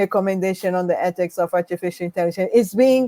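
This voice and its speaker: A woman's dark, mellow tone, dry and close with no echo, on a very clean recording with a silent background. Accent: non-native. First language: not English. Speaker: panel moderator. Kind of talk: panel discussion.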